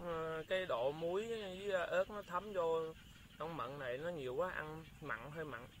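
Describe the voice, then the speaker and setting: Light background noise sits under a man speaking at a moderate pace in a dry sound with no echo. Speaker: food vlogger. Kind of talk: casual vlog chat. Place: open country. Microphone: phone near.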